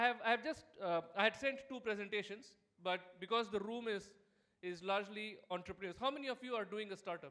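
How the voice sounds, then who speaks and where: A man's raised, projected voice, high-pitched, bright and sharp, at a fairly quick pace. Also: ordinary pitch variation. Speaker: startup founder and keynote speaker. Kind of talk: keynote presentation. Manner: fast.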